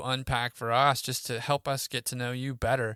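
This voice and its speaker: A man with a bright, sharp tone speaks with fairly even intonation in a dry, close sound with no echo. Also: very clean recording, silent background. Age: 30s. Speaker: podcast host. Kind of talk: podcast interview.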